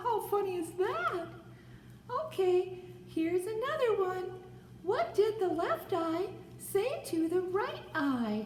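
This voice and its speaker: In a cartoonish character voice at an extremely high pitch, the speaker goes at a fairly slow pace with long, frequent pauses, over clear background noise and slight echo. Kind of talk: puppet joke telling to camera. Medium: puppet. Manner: upbeat, excited.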